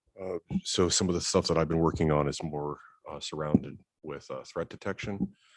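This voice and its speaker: Loud and very deep, a man's low-pitched voice holds a fairly even intonation. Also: dry, close sound with no echo. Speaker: network communication analyst. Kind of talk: presentation at board meeting. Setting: board meeting.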